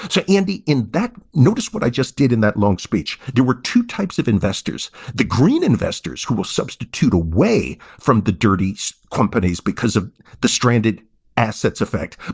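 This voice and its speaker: A man's somewhat breathy voice at medium pitch and moderate pace, with very wide pitch swings and a dry, close sound with no echo. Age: 50s. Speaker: economics professor. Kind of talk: interview.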